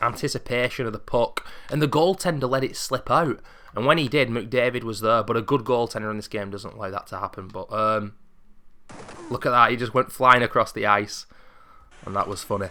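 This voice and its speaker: With a bright, sharp tone and a medium pitch, a man speaks fairly quickly in an animated way, his pitch varying in an ordinary way. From UK. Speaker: gaming YouTuber. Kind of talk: let's play game commentary. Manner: casual, animated.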